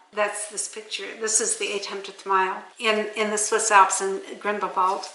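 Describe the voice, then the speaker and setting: A woman speaks at a moderate pace with a fairly high pitch. Noticeable background noise and audible room echo surround her voice. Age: 80s+. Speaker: off-grid homesteader and author. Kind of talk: casual interview. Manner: conversational, with some repeated words.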